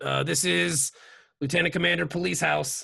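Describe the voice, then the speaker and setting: Using a raspy, put-on character voice, a man speaks at a medium pitch and a moderate pace, with very wide pitch swings. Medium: actual play.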